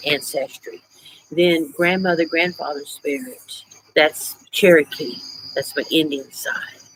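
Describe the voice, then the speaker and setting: A woman speaks with a fairly low pitch and ordinary pitch variation. She has an unremarkable speaking voice. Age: 60s. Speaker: witchcraft YouTuber. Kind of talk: casual livestream chat. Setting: outdoors on porch at night. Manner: relaxed, chatty.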